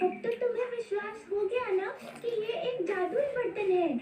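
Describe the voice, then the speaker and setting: This cartoonish character voice keeps a moderate pace, ordinary pitch variation and very even loudness, with clear background noise and a slight echo. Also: woman, extremely high pitch for a woman. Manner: polite, warm.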